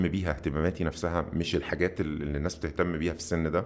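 Delivery comes at a very fast pace. Its intonation is monotone and flat. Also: man. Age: 40s. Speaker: web entrepreneur. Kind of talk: long-form interview.

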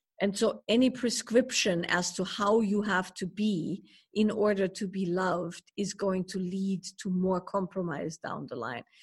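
A woman at medium pitch speaks at a fairly slow pace with hardly any pauses and ordinary pitch variation. Her voice is somewhat breathy. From Germany. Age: 50s. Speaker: spiritual teacher and author. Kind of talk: interview conversation.

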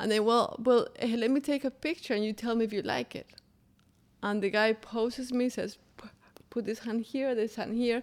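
A woman with a Colombian accent speaks at a fairly high pitch. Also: fairly even intonation, moderate pace. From Colombia, Bogotá. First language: Spanish. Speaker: interpreter and small business founder. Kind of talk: interview conversation.

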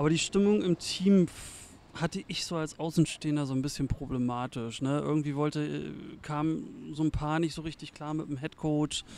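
A man with an unremarkable speaking voice talks at a moderate pace, fairly high in pitch for a man, with fairly even intonation. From eastern Germany (former GDR). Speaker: volunteer football game day manager. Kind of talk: casual interview.

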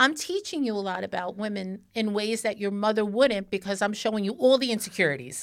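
A woman with an unremarkable speaking voice, medium pitch and lively intonation, going at a fairly quick pace with hardly any pauses. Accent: American. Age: 50s. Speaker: podcast host. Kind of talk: casual chat. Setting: studio.

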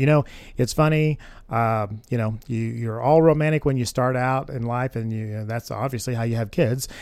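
At a moderate pace, the speaker uses a plain, everyday voice with ordinary pitch variation. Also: man. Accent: American. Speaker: realtor, guest co-host. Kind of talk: casual chat. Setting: studio.

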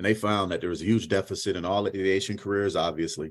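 On a very clean recording with a silent background, a man speaks in an ordinary speaking voice at a fairly low pitch. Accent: American. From Syracuse, New York. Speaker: aviation education program manager. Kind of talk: interview.

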